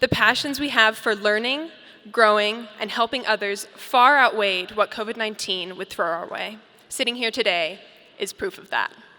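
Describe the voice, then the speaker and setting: Bright and sharp in tone, a woman's fairly high voice shows ordinary pitch variation and big swings in loudness at a moderate pace. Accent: American. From Colorado, Boulder. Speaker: graduating student speaker. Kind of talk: commencement speech. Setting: stage with audience. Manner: formal.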